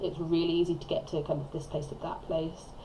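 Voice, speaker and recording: A woman's fairly low voice is heard against noticeable background noise. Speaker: gaming video creator. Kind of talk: voiceover commentary on a speed build. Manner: mumbling; rambling, chatty.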